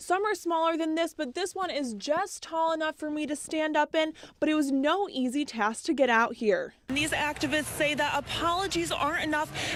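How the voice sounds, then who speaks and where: A woman with an American accent talks at a fairly quick pace in a high pitch with ordinary variation, over noticeable background noise. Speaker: TV news reporter. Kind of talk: TV news live stand-up.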